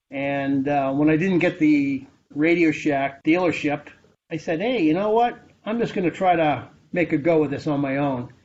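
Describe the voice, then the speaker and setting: A man with a fairly high pitch and ordinary pitch variation talks at a moderate pace in a normal speaking voice. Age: 60s. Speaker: former computer store manager. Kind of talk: interview. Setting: video call.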